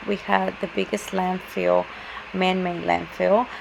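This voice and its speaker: A woman speaks with a Spanish accent. Noticeable background noise runs behind her. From Mexico City, Mexico. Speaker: student presenter. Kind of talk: class presentation. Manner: halting, many fillers.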